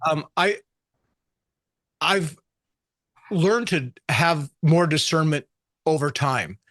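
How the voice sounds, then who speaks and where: A man talks very slowly with long, frequent pauses, ordinary pitch variation, and a dry, close sound with no echo. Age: 60s. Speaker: pastor and author. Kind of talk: interview. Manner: halting, repeats words.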